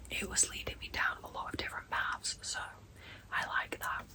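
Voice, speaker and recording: Whispering at a fairly quick clip, a woman is heard against noticeable background noise. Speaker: book vlogger. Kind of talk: casual vlog.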